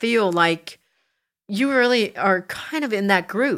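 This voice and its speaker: Her intonation rises and falls in a lively way. The woman's tone is bright and sharp. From South Jersey. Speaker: podcast host. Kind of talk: casual interview chat.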